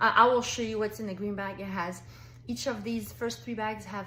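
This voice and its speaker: Audible room echo surrounds a woman talking at a fairly quick pace in an animated tone. Her intonation is lively, with vocal fry. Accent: French. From France. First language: French. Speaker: direct sales consultant. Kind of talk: sales pitch. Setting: pre-recorded video for online party.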